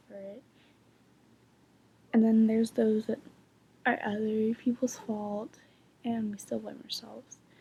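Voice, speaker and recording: A woman with a fairly high pitch and a dark, mellow tone speaks at a fairly slow pace, somewhat breathy, in a monotone, flat intonation. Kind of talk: casual talk to camera, advice video.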